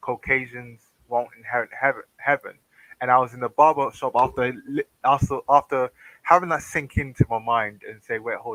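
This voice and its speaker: In a British accent, a man speaks at a moderate pace in a medium pitch with fairly even intonation, the sound dry and close with no echo. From Britain. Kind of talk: casual chat. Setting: livestream voice call without webcam. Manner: halting, many fillers.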